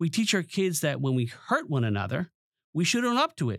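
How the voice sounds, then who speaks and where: Recorded very cleanly against a silent background, a man with a New York accent speaks at a fairly quick pace. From Long Island, New York. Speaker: teacher and former professor. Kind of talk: presentation then interview. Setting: studio.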